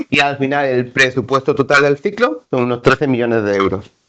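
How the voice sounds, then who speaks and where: Speaking at a fairly quick pace, a man has a medium-pitched voice with a bright, sharp tone. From Seville, Andalusia, Spain. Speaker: conference presenter, mapping agency staff. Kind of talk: conference presentation.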